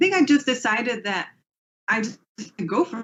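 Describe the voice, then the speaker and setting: A woman with an American accent talks at a fairly quick pace, her pitch swinging very widely. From England. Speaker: space engineer. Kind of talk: interview answer.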